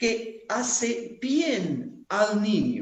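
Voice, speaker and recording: A woman speaks here at a fairly high pitch. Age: 60s. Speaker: conference speaker on family and theology. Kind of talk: lecture.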